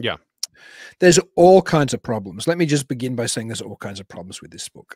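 The sound is dry and close with no echo. A man with an Australian accent talks with lively intonation. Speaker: podcast co-host. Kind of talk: casual chat.

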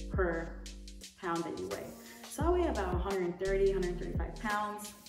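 Clear music plays behind a woman's speech. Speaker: vlogger. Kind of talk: casual vlog chat. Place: home room.

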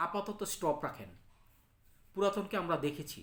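This man speaks with lively intonation. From Bangladesh, Cumilla (Debidwar). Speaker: local political commentator. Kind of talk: political monologue. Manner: halting.

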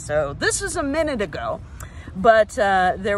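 The speech moves at a moderate pace, with a dry sound with no echo and light background noise. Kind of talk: casual educational vlog talk. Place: forest. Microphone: phone near.

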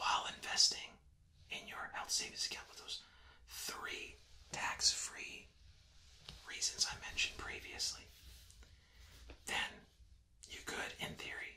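Whispering and soft-spoken at a fairly slow pace, with long, frequent pauses, big swings in loudness and light background noise. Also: man. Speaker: presenter. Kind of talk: tutorial. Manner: soft whispered explanation.

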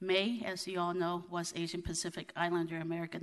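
A woman speaks in a fairly low pitch with flat, monotone intonation. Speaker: city council president; city council member. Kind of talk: formal meeting proceedings. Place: hall. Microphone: podium.

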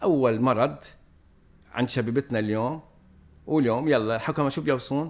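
At a fairly slow pace with long, frequent pauses, a man speaks at medium pitch with ordinary pitch variation. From Lebanon. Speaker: priest. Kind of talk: casual chat. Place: home room. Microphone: studio mic.

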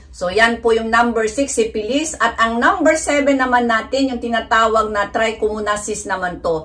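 A woman's fairly high voice at a moderate pace with ordinary pitch variation. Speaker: vlogger. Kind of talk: informal health talk vlog. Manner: halting, stumbles over medical terms. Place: home room.

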